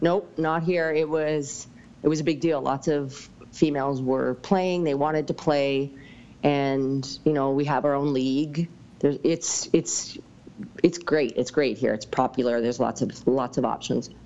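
A woman with a Western Canadian accent and a very deep, low pitch, at a fairly slow pace with ordinary pitch variation. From British Columbia, Canada. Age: 40s. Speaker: fitness coach. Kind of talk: casual interview.

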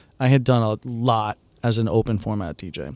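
An ordinary speaking voice with an American accent moves at a moderate pace with fairly even intonation. The sound is dry and close with no echo, in a very clean recording with a silent background. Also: man. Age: 40s. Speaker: DJ and producer. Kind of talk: casual chat. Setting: studio.

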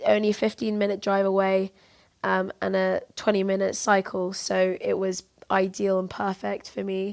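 A London accent at a moderate pace, over a quiet background. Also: woman. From southeast London. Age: 20s. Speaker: university student and amateur jockey. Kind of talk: interview.

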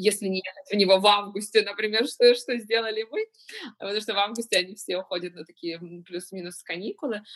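A woman's medium-pitched voice at a very fast pace, with big swings in loudness. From Ukraine, Kyiv. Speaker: pastry chef and business owner. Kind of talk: interview.

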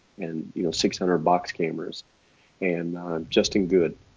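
Speaking at a moderate pace, a man with a Texas accent has a very deep, low voice. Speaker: portrait photographer. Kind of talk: casual interview chat.

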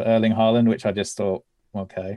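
With a British accent, a man speaks in a dark, mellow tone at a fairly low pitch. His intonation is monotone and flat over a quiet background. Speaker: football journalist. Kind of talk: casual chat.

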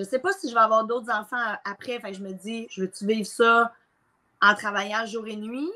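A woman's fairly high, bright, sharp voice at a moderate pace, with ordinary pitch variation and big swings in loudness. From Quebec, Mauricie. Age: 30s. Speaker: entrepreneur and coach. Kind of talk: casual interview. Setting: live recording.

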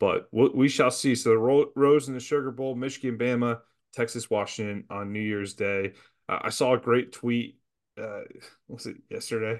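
A man with an unremarkable speaking voice and a medium pitch talks at a moderate pace with fairly even intonation. His loudness swings widely against a quiet background. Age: 30s. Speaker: sports podcast co-host. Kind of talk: casual chat.

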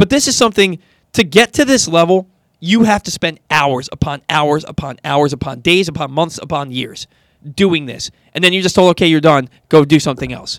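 A man with a fairly high pitch talks at a moderate pace in an ordinary speaking voice. The sound is dry and close, with no echo. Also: lively intonation. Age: 30s. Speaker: sports radio host. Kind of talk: sports talk radio. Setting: studio.

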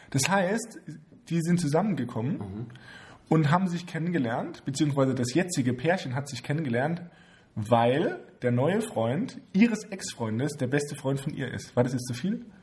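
This man's pitch is fairly high. A somewhat breathy sound comes through when he talks. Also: lively intonation, moderate pace. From Heidelberg/Mannheim area, Germany. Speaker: podcast co-host. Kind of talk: casual chat. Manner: laughs a lot.

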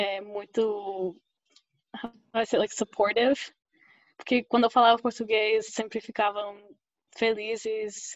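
Very slowly, a woman speaks in a fairly high, monotone, flat voice. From US, Oklahoma. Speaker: anthropologist. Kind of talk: interview.

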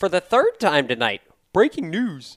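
Using a put-on character voice at a middle pitch, the speaker moves at a moderate pace with very wide pitch swings. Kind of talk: formal, broadcast. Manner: dramatic, urgent, breaking-news delivery.

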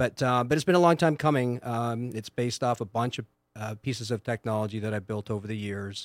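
Recorded dry and close with no echo and a silent background, a man with an ordinary speaking voice talks fairly quickly at medium pitch with ordinary pitch variation. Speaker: entrepreneur. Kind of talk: casual interview chat.

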